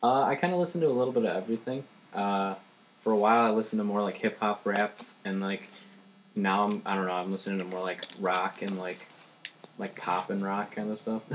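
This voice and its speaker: A man with an American accent speaks at a fairly quick pace, with a fairly low pitch and ordinary pitch variation. Long, frequent pauses break up his speech, and background noise is noticeable. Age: 20s. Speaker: stand-up comedian. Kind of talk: casual chat.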